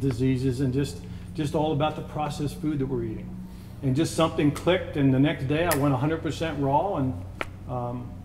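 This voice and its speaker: A man's medium-pitched voice at a fairly quick pace, with light background noise. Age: 50s. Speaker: snack company founder; interviewee. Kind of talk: interview. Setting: on site at factory. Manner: halting, many fillers. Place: home room. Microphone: lapel.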